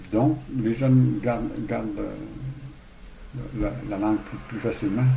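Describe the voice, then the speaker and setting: Heard with audible room echo and noticeable background noise, a man speaks at a fairly low pitch with ordinary pitch variation. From Quebec, Saguenay–Lac-Saint-Jean. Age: 60s. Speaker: hostel owner. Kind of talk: interview. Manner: halting, many repetitions.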